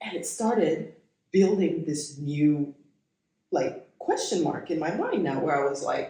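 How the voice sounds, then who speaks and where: A fairly slow delivery in an American accent. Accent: American-sounding. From Kenya. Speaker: podcast co-host. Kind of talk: casual chat. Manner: animated.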